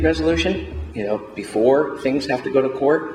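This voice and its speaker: Over noticeable background noise and audible room echo, a man talks at a moderate pace and a medium pitch. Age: 60s. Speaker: mediator and elder law panelist. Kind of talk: conference panel presentation. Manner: halting, many fillers.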